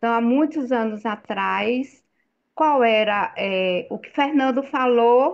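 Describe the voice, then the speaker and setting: The woman's high pitch varies in an ordinary way while she talks at a very slow pace. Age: 60s. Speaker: participant in spiritual group chat. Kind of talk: online group discussion. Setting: video call.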